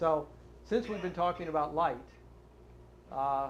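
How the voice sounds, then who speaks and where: A man at a moderate pace, with audible room echo. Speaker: lecturer. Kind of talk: lecture. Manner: halting.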